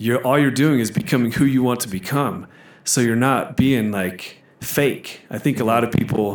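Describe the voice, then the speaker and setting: Here is an ordinary speaking voice from a man with ordinary pitch variation. He talks at a moderate pace. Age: 30s. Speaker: gym manager. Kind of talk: casual chat.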